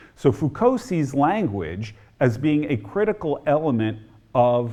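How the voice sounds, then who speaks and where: A man with an American accent talks in a plain, everyday voice at a fairly slow pace. His pitch sits fairly high, and the background is quiet. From New Jersey (near Newark). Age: 60s. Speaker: historian and author. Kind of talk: lecture.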